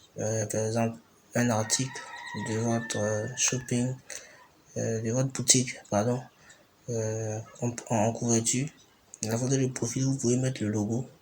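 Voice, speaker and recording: Over noticeable background noise, a man talks at a fairly slow pace in a medium pitch, with monotone, flat intonation and long, frequent pauses. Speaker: tutorial maker. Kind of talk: screen-recorded tutorial narration.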